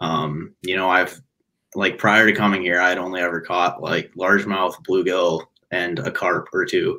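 A man's very deep, low voice, bright and sharp in tone, with monotone, flat intonation. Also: moderate pace. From Chicago suburbs, Illinois; Illinois. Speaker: angler and recent college graduate; podcast guest. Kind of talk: casual interview chat. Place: home room.

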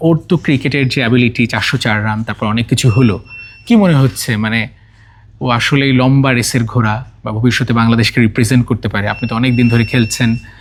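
Noticeable background noise accompanies a man whose voice sits at a medium pitch. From Bangladesh, Sirajganj. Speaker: video channel host interviewing a cricketer. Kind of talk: interview and presenting to camera. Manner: animated.

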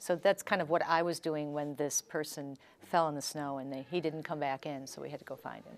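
A woman with a very deep, low pitch talks at a fairly quick pace with fairly even intonation. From Chicago. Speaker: author and former attorney; interviewee. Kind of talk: interview. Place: studio. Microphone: lapel.

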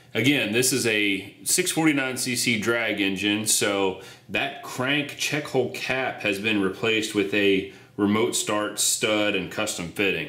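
A man speaks at a fairly low pitch with ordinary pitch variation, and the room echo is audible. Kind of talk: tutorial.

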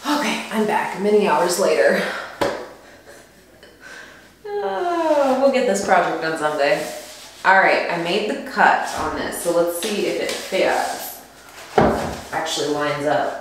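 A woman speaks at a fairly slow pace, leaving long, frequent pauses. Strong room echo surrounds her voice, with light background noise. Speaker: DIY home renovation vlogger. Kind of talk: casual vlog chat. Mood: wry, mildly frustrated then pleased. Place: bathroom. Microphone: camera far.

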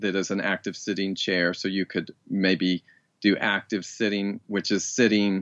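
Speaking with an American accent, a man keeps his pitch fairly low. His pace is moderate. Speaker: rewilding teacher and writer. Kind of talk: interview. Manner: halting, with frequent repetitions.

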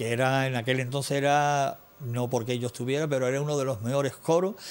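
A man's fairly high voice at a fairly quick pace, with fairly even intonation. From Andalusia, Ronda; Andalusia. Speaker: musician; TV interview guest. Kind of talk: interview. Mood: nostalgic storytelling. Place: studio.

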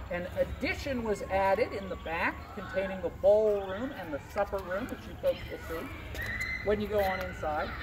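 A man is talking at a moderate pace. Behind him, noticeable background noise can be heard. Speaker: costumed historic site guide. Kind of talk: tour guide talk. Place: garden. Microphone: camera far.

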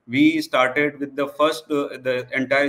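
A man's voice at a moderate pace. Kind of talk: conference talk. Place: home room. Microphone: webcam.

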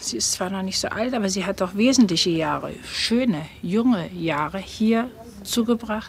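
A woman with a plain, everyday voice speaks fairly slowly in a medium pitch, the sound dry with no echo and light background noise. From Germany. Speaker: acquaintance of the subject. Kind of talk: documentary interview. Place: shop.

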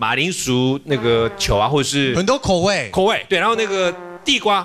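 Light background noise beneath a man's moderately paced speech. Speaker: TV guest. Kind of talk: talk show chat. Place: studio. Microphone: studio mic.

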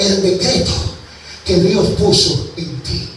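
A man speaks in a space with audible room echo and light background noise. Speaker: evangelist preacher. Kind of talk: fiery Pentecostal sermon. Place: church. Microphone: camera far.

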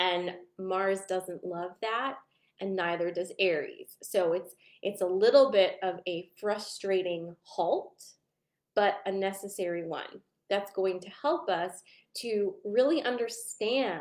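A woman speaks at a very slow pace, her loudness swinging widely. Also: ordinary pitch variation. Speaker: group host. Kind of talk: casual vlog chat. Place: home room. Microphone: webcam.

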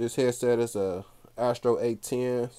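A man speaks in a dark, mellow tone with monotone, flat intonation. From Cincinnati, Ohio; Ohio. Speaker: gaming YouTuber. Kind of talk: room tour video. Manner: casual. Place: home room. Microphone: phone near.

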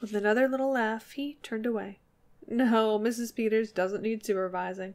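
With ordinary shifts in pitch, someone reads aloud in a natural voice.

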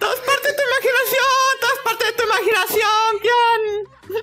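A woman's put-on character voice, extremely high and fairly quick, with noticeable background noise.

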